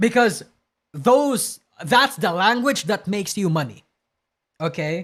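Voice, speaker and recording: A man speaks at a high pitch with a strong Filipino accent, pausing long and often. The recording is very clean, with a silent background. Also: lively intonation, fairly slow pace. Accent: heavy Filipino. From Philippines, provinces. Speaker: streamer. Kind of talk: casual live stream commentary. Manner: halting, self-correcting.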